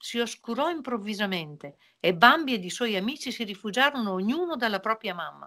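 A woman speaks at a moderate pace with a fairly high pitch, a fairly bright tone, and lively intonation.

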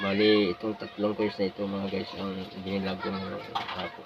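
Over noticeable background noise, a man speaks fairly slowly at a fairly low pitch with monotone, flat intonation. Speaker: coin collector vlogger. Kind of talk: casual vlog talk. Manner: hesitant, many fillers. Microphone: cheap cellphone.

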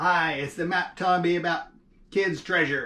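In a put-on character voice, a man bellows and growls at a high pitch and a moderate pace. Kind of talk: read-aloud storytime voice. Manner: growling, roaring, menacing.

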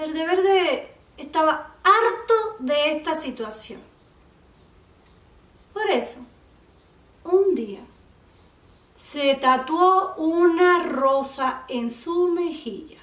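With audible room echo, a woman at an extremely high pitch speaks at a very slow pace with lively intonation and long, frequent pauses. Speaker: oral storyteller. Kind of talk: children's story reading.

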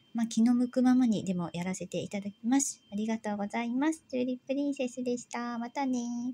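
A woman's high-pitched voice, gentle in tone and dark and mellow, with big swings in loudness, ordinary pitch variation, and hardly any pauses. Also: fairly quick pace. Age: 40s. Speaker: YouTuber, housewife; YouTuber. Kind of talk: casual vlog narration. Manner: hesitant, many fillers; polite, gentle. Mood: relaxed, soft night talk. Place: home room. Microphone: phone near.

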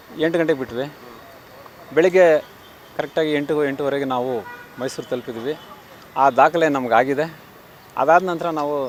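Against noticeable background noise, a man with a fairly high voice speaks with fairly even intonation. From Kolar district, Karnataka. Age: 60s. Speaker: physical education teacher and athletics coach. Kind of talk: press interview.

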